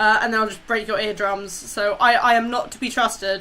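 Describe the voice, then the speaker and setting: This is a woman with a bright, sharp tone. She speaks loudly. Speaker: streamer and cosplayer. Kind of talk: casual chat. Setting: live stream on camera. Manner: animated.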